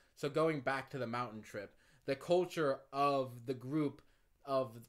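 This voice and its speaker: The setting is quiet. A man keeps a moderate pace and fairly even intonation. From United States. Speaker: YouTuber telling personal stories. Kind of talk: casual vlog monologue. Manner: rambling with frequent laughs. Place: home room.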